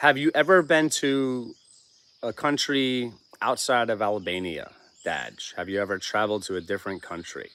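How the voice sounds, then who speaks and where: At a moderate pace, a man with an American accent speaks in a medium pitch, using a bright, sharp tone and lively intonation. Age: 40s. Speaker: homesteading channel livestream host. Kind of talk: casual livestream chat, reading viewer comments. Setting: live stream with chat.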